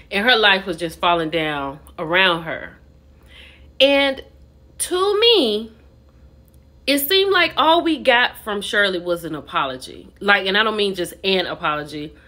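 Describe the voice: A woman's voice carries a bright, sharp tone and lively intonation. She speaks fairly slowly. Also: medium pitch for a woman.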